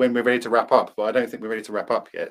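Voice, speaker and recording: A man with a southern English accent, talking at a very fast pace. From England, Cambridge. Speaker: podcast co-host. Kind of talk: casual chat.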